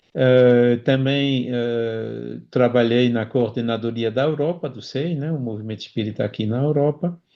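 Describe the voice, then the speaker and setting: At a fairly slow pace with hardly any pauses, a man speaks at medium pitch with fairly even intonation. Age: 60s. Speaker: spiritist speaker. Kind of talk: interview. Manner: halting.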